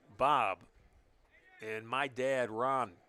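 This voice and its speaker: A man with an American accent speaks at medium pitch. His tone is bright and sharp, and his intonation fairly even. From northern Ohio, US. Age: 60s. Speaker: baseball play-by-play announcer. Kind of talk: live sports commentary. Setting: live radio and stream broadcast.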